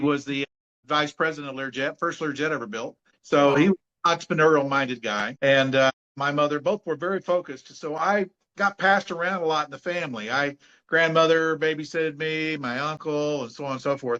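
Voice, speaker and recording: Speaking fairly quickly in an American accent, a man with a fairly high pitch and a bright, sharp tone shows ordinary pitch variation in a dry, close sound with no echo. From US Midwest, southwest Missouri. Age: 60s. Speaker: entrepreneur and business coach. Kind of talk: interview.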